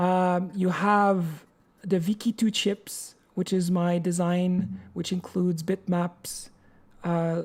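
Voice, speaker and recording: A woman's very slow, monotone delivery in a French accent, with flat intonation and very even loudness. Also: medium pitch for a woman. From France or French-speaking region. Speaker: hardware designer and programmer. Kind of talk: live-stream programming tutorial. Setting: live stream. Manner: halting, many repetitions.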